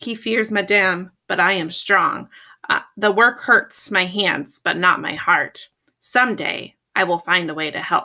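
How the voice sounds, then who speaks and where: In a fairly slow, raspy, put-on character voice, a woman speaks at a medium pitch with ordinary pitch variation. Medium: read story.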